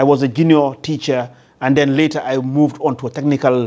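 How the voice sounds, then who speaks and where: A man talks at a fairly quick pace in a fairly high voice. His dark, mellow tone stays monotone and flat. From Gambia. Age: 60s. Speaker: construction business owner. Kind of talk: interview. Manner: hesitant, many fillers.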